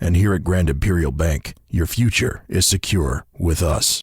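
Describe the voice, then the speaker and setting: Using a put-on character voice, a man growls at a very deep, low pitch with ordinary pitch variation and a moderate pace, in a very clean recording with a silent background. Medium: voice reel. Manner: formal, measured.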